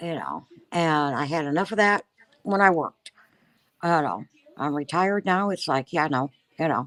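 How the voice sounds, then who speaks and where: A woman with a very deep, low voice talks at a moderate pace with ordinary pitch variation and long, frequent pauses. The sound is dry and close, with no echo. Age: 70s. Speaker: retiree and hobby colorist. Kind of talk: casual chat.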